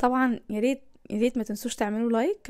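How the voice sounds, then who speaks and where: With an Egyptian accent, a woman speaks at a fairly high pitch in a dark, mellow tone, on a very clean recording with a silent background. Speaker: lifestyle vlogger. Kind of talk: cooking vlog narration. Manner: casual, conversational.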